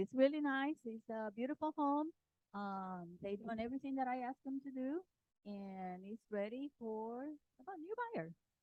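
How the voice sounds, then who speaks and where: A soft-spoken woman with a high pitch talks at a moderate pace. Her intonation is lively, and her loudness swings widely. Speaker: real estate agent. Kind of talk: property presentation at team meeting. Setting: office meeting room with handheld mic. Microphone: bad mic, held too far.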